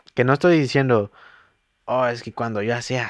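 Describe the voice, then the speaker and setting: Captured with a dry, close sound and no echo, a man speaks at a medium pitch. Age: 20s. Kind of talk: casual chat. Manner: halting.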